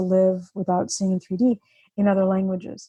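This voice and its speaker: Speaking at a fairly quick pace, a woman uses a somewhat breathy, medium-pitched voice with a dark, mellow tone. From born in Russia, grew up in the US. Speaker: author and vision therapy patient advocate. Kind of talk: interview.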